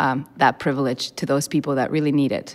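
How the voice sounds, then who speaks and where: In a very clean recording with a silent background, a woman speaks with a very deep, low pitch and a monotone, flat intonation. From immigrant to the US. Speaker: stage actor. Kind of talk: panel discussion.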